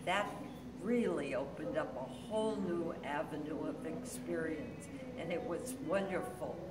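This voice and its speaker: Loud background noise sits behind a woman speaking at a fairly slow pace. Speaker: senior acting student. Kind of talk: testimony. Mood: warm and enthusiastic. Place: hall. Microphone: phone near.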